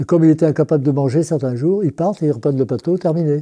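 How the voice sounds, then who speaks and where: A man speaks at a fairly quick pace in a fairly high voice. His tone is dark and mellow, and somewhat breathy. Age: 80s+. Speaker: worker priest. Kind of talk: testimony interview. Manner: halting, with hesitations and repetitions.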